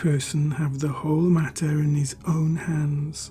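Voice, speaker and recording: Soft-spoken and very slow, a man talks with ordinary pitch variation while music plays in the background. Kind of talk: ASMR story reading. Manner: soft-spoken, slow.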